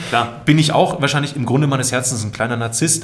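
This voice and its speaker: A man with noticeable background noise behind him. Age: 30s. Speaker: voice artist and video creator. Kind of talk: casual interview chat. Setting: studio.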